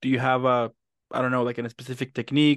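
Over a quiet background, a man talks very fast at a medium pitch. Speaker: interviewer. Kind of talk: casual interview. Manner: animated.

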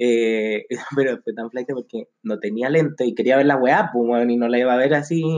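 A man with a Chilean accent talks at a fairly quick pace and medium pitch, with ordinary pitch variation and a dry, close sound with no echo. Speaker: podcast co-host. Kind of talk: casual chat. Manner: animated.

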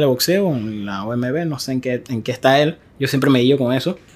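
Ordinary pitch variation from a man talking at a moderate pace. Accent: Panamanian. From Panama, Arraiján. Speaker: podcast host. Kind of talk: casual chat. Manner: animated.

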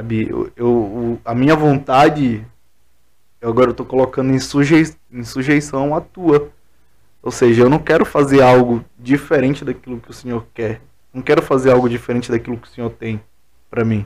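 Here a man has a normal speaking voice at medium pitch. He keeps a moderate pace and fairly even intonation. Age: 20s. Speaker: pastor. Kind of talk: casual chat.

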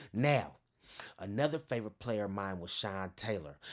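A man with an American accent uses a normal speaking voice at a fairly low pitch and a moderate pace. His pitch varies in an ordinary way on a very clean recording with a silent background. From Northern California, East Bay. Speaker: podcast host, sports fan and motivational speaker. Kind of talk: casual monologue.

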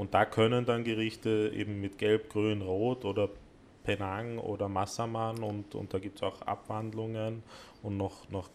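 A man speaks at a fairly slow pace and fairly low pitch. His intonation stays flat and monotone. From Vienna, partly raised in South Korea. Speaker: cooking studio owner. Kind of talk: casual chat. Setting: cooking studio.

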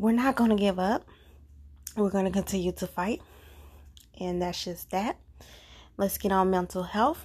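With long, frequent pauses, a woman speaks at a moderate pace in a somewhat breathy, medium-pitched voice with fairly even intonation. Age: 20s. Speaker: podcast host. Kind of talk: casual monologue.

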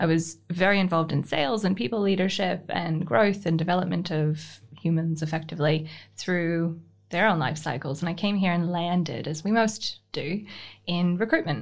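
This woman has a plain, everyday voice, fairly low in pitch with ordinary pitch variation, at a moderate pace. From Canada. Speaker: business owner. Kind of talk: casual interview.

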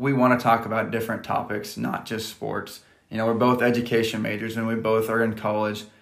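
Over noticeable background noise and audible room echo, a man with a Midwestern American accent speaks at a medium pitch and fairly quick pace in a monotone, flat intonation. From US Midwest, rural Nebraska. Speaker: podcast host, college student and coach. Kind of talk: casual chat.

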